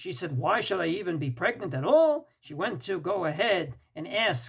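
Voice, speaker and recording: A man at a high pitch and moderate pace, with very wide pitch swings. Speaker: rabbi, Torah teacher. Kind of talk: religious lecture. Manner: emphatic.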